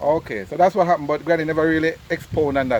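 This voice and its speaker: Over noticeable background noise, a man with a Jamaican accent talks at a fairly quick pace in a fairly high pitch with ordinary variation. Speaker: travel vlogger. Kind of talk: family interview.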